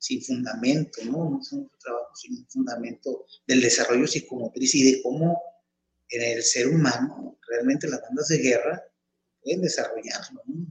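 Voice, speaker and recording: Big swings in loudness run through a man's speech at a moderate pace. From Mexico, Tepic (Nayarit) and Chihuahua. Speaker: marching band instructor and coordinator. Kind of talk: interview.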